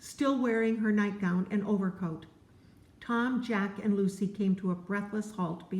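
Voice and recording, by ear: Someone is reading aloud in a natural voice. Pitch stays fairly even from line to line.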